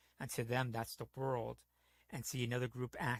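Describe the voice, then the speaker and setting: A man with an American accent talks at a fairly quick pace in a medium, somewhat breathy voice with monotone, flat intonation. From New York / New Jersey (Bronx, Jersey). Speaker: gaming streamer. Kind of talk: casual chat.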